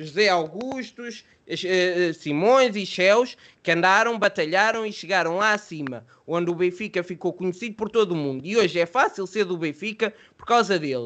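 His pitch is high for a man, and his intonation is lively. He speaks at a moderate pace. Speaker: football podcast host. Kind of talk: casual chat.

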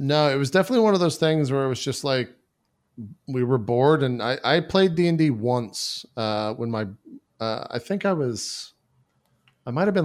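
A man with a normal speaking voice at medium pitch and lively intonation, on a very clean recording with a silent background. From Texas. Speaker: Twitch streamer and podcaster. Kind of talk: casual interview chat.

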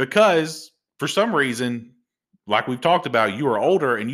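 A man talks at a medium pitch and a moderate pace in a normal speaking voice. The recording is very clean, with a silent background. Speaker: podcast host. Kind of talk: casual chat. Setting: recording at home.

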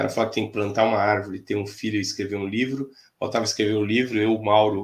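On a very clean recording with a silent background, a man speaks very fast in a flat monotone at a fairly low pitch. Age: 50s. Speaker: futsal fitness coach. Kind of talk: casual interview.

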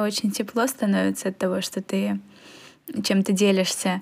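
Her voice has a somewhat breathy quality. The woman's pitch sits in the medium range. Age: 20s. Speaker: psychology student and podcast co-host. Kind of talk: casual chat.

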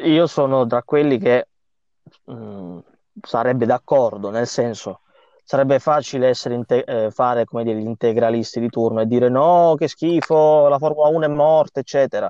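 A man speaks with a dark, mellow tone and ordinary pitch variation. Long pauses come often. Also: medium pitch for a man, moderate pace, dry, close sound with no echo. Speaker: podcast host, motorsport journalist. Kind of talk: casual chat.

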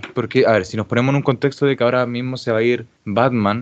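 A man with a Chilean accent speaks in a fairly even intonation. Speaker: podcast host and editor. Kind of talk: casual chat.

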